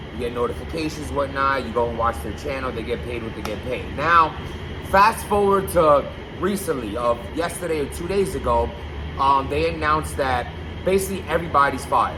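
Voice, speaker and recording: Loud and fairly quick, a man speaks with very wide pitch swings amid audible room echo and noticeable background noise. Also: medium pitch for a man. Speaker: YouTube blogger on battle rap. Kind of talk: casual vlog commentary. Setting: loud basement room.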